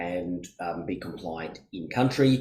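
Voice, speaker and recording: A man talks in an Australian accent, at a fairly slow pace. His tone is dark and mellow, with ordinary pitch variation. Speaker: accountant and business consultant. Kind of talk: webinar presentation.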